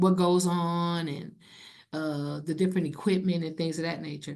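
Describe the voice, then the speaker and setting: A woman with an American accent speaks in a medium pitch, her tone dark and mellow. Her intonation is fairly even, and there is audible room echo. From US Midwest, Cleveland, Ohio. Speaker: federal civil rights program manager. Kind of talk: conference presentation. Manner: fast.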